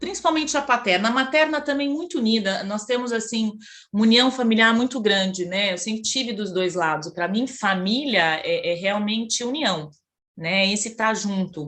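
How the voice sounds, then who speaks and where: The intonation rises and falls in a lively way. The pace is moderate. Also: woman, fairly high pitch for a woman. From Brazil, Campinas (São Paulo state). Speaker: psychologist, Jungian analyst. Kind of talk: interview, personal life story. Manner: hesitant, many fillers.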